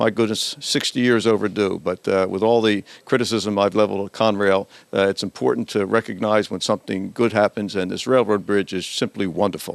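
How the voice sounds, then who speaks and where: A man with a fairly low pitch speaks in a plain, everyday voice. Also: fairly even intonation, fairly quick pace. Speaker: local TV show host. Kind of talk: casual interview chat. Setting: hardware store.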